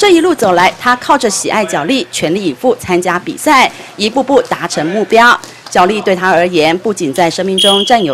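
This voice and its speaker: A woman speaks at a moderate pace and a medium pitch. Her pitch swings very widely, over noticeable background noise. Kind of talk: news reading. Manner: formal, even and brisk, broadcast-style delivery.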